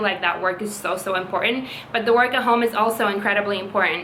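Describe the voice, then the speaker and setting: Against noticeable background noise, a woman talks at medium pitch in a monotone, flat delivery. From Latvia. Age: 20s. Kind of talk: casual talk to camera.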